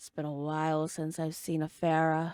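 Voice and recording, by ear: Delivered at a moderate pace, a put-on character voice holds a middle pitch with monotone, flat intonation.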